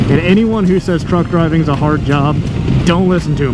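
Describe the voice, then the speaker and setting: Music plays in the background, and audible room echo surrounds the voice. A man speaks with ordinary pitch variation. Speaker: motovlogger and truck driver. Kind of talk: casual vlog narration while riding. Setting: on a motorcycle outdoors. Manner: relaxed, laid back.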